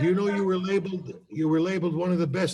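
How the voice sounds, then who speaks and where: A high-pitched man's voice at a very fast pace. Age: 60s. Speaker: college academic mentor. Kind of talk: casual chat. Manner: animated.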